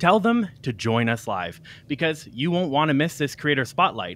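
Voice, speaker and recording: A man at a fairly quick pace, the sound dry with no echo. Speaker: live stream host. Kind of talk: show host introduction. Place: home room. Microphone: studio mic.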